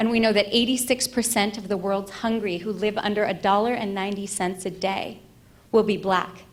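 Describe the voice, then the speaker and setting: A woman speaks with a fairly high pitch and fairly even intonation. Room echo is audible. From Egypt. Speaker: ethicist and futurist. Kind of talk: conference keynote.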